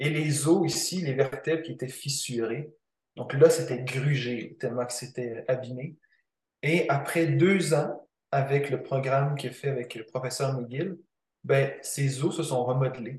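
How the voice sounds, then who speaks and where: A man's somewhat breathy voice, fairly high in pitch, with a fairly slow pace and fairly even intonation. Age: 20s. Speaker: kinesiologist. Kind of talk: interview.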